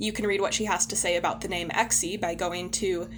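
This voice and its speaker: A woman is heard over noticeable background noise. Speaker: podcast co-host. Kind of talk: casual chat; scripted narration.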